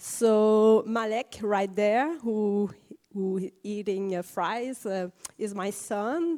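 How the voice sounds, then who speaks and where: A woman with a Quebec accent, dark and mellow in tone, at a very slow pace. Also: fairly high pitch for a woman, ordinary pitch variation. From Quebec, Canada. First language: French. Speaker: parent of child with rare syndrome. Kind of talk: conference panel testimony. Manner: halting.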